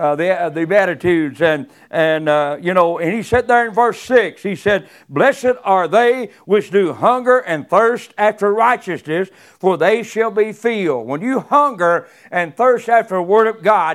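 A man's high-pitched voice with lively intonation. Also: very clean recording, silent background. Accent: Southern US. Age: 70s. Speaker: guest preacher. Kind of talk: sermon. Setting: church. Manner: halting.

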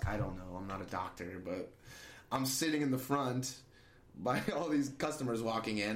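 Audible room echo surrounds a man speaking at a medium pitch with an American accent. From central Illinois (small town). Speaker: restaurant server. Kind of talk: interview. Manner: boisterous, laughs often; talkative.

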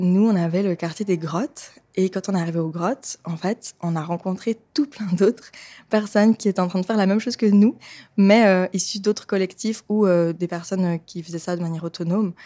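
A woman at medium pitch, with fairly even intonation, a fairly quick pace, and a very clean recording over a silent background. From Switzerland, Lausanne. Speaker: feminist activist. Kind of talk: interview. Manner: hesitant, many fillers.

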